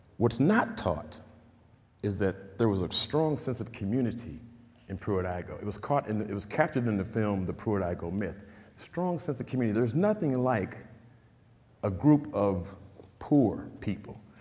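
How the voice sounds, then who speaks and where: A man with an American accent, fairly low in pitch with lively intonation, at a moderate pace with long, frequent pauses and audible room echo. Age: 50s. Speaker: community activist. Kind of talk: talk. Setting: stage with audience.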